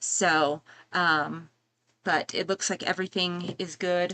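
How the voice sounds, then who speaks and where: Soft-spoken and bright, sharp in tone, a woman talks at a medium pitch with fairly even intonation. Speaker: YouTuber reviewing movie and music deals. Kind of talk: live stream product run-through. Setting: home live stream. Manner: hesitant, many fillers.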